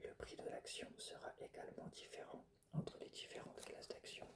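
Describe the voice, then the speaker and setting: Whispering at a fairly slow pace. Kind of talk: whispered educational lecture; ASMR educational narration. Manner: whispered, soft.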